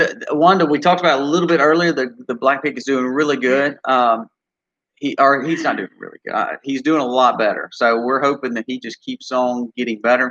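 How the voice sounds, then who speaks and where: In a Mississippi accent, a man speaks at a fairly quick pace with a bright, sharp tone, the sound dry and close with no echo. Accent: Southern US (Mississippi). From US South. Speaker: homesteader, channel co-host. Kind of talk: casual live-stream chat.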